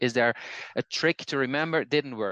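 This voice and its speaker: Over a quiet background, a voice with a Dutch accent moves at a fairly quick pace with ordinary pitch variation, the sound dry and close with no echo. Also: man. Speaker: language teacher and polyglot. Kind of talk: casual conversation.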